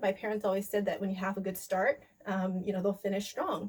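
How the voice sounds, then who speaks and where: A woman with an American accent speaks at a fairly quick pace. Her medium-pitched voice has a dark, mellow tone. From US, Kentucky. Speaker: language educator, video host. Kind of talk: casual vlog talk. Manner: halting, many fillers.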